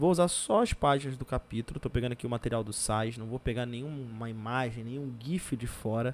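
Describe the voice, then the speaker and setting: A man with a medium pitch talks at a fairly quick pace with hardly any pauses and ordinary pitch variation in a plain, everyday voice, on a very clean recording with a silent background. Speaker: geography teacher. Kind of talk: recorded lesson.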